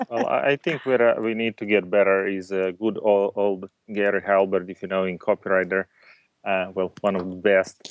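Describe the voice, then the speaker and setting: Here a man speaks with a non-native accent at a fairly low pitch. His intonation stays fairly even. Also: moderate pace. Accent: foreign-accented English. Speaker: entrepreneur. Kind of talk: casual interview.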